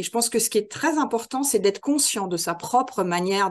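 The voice is an ordinary speaking voice with lively intonation at a moderate pace. The background is quiet. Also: woman. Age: 50s. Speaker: trainer and author. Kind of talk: interview conversation.

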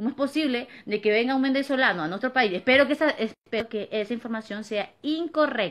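A woman in a high pitch, animated and fairly quick, with hardly any pauses. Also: ordinary pitch variation. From Peru, Lima (San Juan de Lurigancho); Peru. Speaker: vlogger. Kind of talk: opinion monologue to camera. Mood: indignant, complaining. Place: home room. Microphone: phone near.

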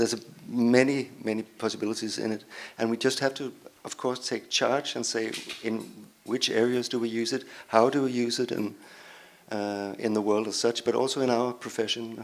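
Monotone and flat, a man's medium-pitched voice moves at a moderate pace. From Denmark. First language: Danish (speaking Italian). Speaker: cartoonist; speaker. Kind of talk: panel discussion. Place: hall. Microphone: handheld.

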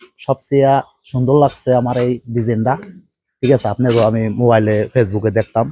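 A man speaks at a medium pitch with fairly even intonation. It is a normal speaking voice. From Bangladesh, Gopalganj. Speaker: migrant worker, customer. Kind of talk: customer testimonial.

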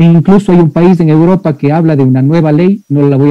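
Over a quiet background, a man with a dark, mellow tone speaks at a moderate pace with fairly even intonation. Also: dry sound with no echo. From Ecuador. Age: 40s. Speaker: engineering professor. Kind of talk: lecture. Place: office. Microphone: video call.

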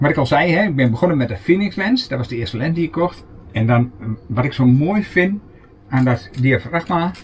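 A man talks at a moderate pace in a fairly high pitch, with very wide pitch swings. Light background noise sits behind him. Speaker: camper vlogger. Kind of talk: casual show-and-tell vlog. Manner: casual, hesitant with fillers. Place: home room. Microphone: camera far.

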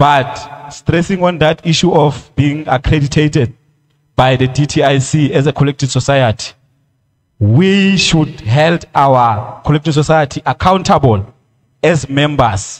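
Against a quiet background, a somewhat breathy man talks at a fairly slow pace with ordinary pitch variation. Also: fairly high pitch for a man, very even loudness. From South Africa. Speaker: creative industry federation official. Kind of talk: public hearing submission. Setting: community hall public hearing. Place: hall. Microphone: podium.

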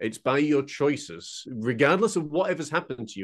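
With a quiet background behind him, the man's intonation is lively. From northern England, Huddersfield, West Yorkshire; northern England. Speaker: painter and mental health mentor; guest. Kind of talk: casual interview chat. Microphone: studio mic.

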